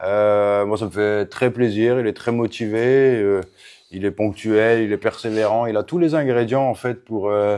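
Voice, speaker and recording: Against a quiet background, a man with a dark, mellow tone speaks fairly slowly at a fairly low pitch with fairly even intonation. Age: 40s. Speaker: MMA coach. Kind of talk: casual interview. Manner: hesitant, many fillers.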